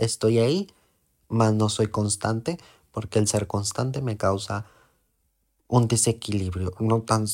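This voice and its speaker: Over a very clean recording with a silent background, a man talks at a fairly slow pace in a relaxed tone, with medium pitch and ordinary pitch variation. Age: 20s. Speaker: podcast host, salesman with psychology degree. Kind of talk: personal monologue. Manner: slow, relaxed.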